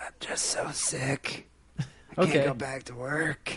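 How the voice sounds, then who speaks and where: A man performs a put-on character voice at medium pitch and a fairly slow pace. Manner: weak, whiny, exaggerated.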